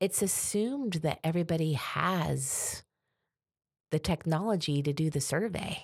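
On a very clean recording with a silent background, a woman with an unremarkable speaking voice talks at a fairly slow pace, fairly low in pitch, with ordinary pitch variation. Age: 50s. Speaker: fire department public information officer. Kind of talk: interview.

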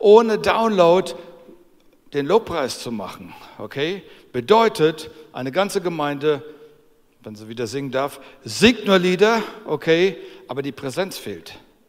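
A man with a high voice speaks at a fairly slow pace, with very wide pitch swings, big swings in loudness, and long, frequent pauses. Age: 60s. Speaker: preacher. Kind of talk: sermon. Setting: church service. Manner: animated.

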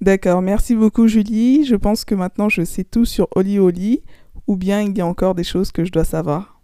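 A woman talks at a moderate pace in a medium pitch. Her tone is dark and mellow, with ordinary pitch variation. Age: 20s. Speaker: podcast host. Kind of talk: interview.

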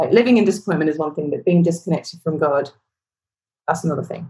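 Woman's voice, very fast, fairly low in pitch, somewhat breathy, with ordinary pitch variation. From London, England. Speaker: worship leader, singer-songwriter. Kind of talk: casual interview chat.

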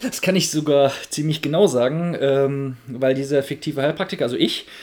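Using an unremarkable speaking voice, a man talks at a moderate pace with a fairly high pitch and fairly even intonation. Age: 30s. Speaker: podcast co-host, tech founder. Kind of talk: casual chat.

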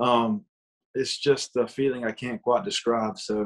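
Against a quiet background, a man with an American accent and an unremarkable speaking voice talks in a medium pitch with fairly even intonation. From Georgia, US. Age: 20s. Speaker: country singer. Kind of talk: casual interview chat.

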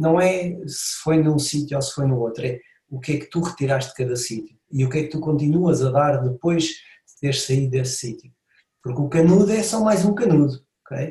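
A man with a European Portuguese accent, a dark, mellow tone, somewhat breathy, fairly high pitch, ordinary pitch variation and a moderate pace. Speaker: podcast host, fitness trainer. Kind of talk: casual podcast interview.

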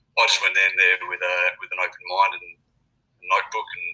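A man speaks in a raised, projected voice at a fairly quick pace. His tone is bright and sharp, with ordinary pitch variation. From France and Australia, born in UK. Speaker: rugby analyst and coach. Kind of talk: casual interview.

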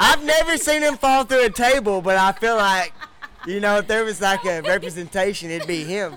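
With a Texan accent, a high-pitched man speaks in a raised, projected voice at a moderate pace with lively intonation, and noticeable background noise runs underneath. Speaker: podcast host. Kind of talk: casual chat. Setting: bar.

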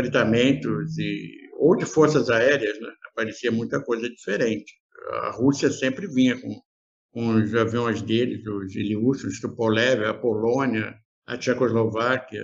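Speaking at a fairly slow pace, a man shows vocal fry and ordinary pitch variation. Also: medium pitch for a man. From Rio de Janeiro, Brazil. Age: 70s. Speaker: aviation photographer. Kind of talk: interview.

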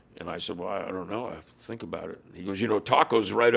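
A man is speaking. His voice carries vocal fry. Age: 70s. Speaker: former motorcycle club president and author. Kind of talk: casual interview chat.

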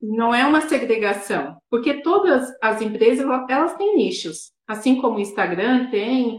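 Audible room echo surrounds a woman speaking at a high pitch with very wide pitch swings. She goes at a fairly slow pace with hardly any pauses. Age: 30s. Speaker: dentist. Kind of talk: interview.

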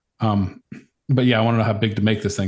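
Speaking very fast with fairly even intonation, a somewhat breathy man with an American accent is heard against a quiet background. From Virginia, US. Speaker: woodworker. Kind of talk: casual chat.

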